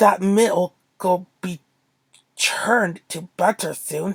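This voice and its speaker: A female-sounding voice growls in a put-on character voice at middle pitch. The pace is very slow. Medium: read story.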